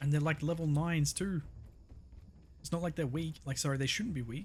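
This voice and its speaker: Somewhat breathy, a man talks at a fairly quick pace. His pitch is fairly high, with ordinary variation. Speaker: gaming video creator. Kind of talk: let's play commentary.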